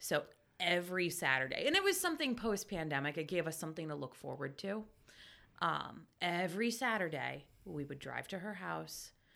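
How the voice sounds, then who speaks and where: A woman's fairly low voice with an American accent, vocal fry and lively intonation. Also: moderate pace. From Pennsylvania, Lebanon. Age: 40s. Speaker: book giveaway volunteer. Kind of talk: casual chat.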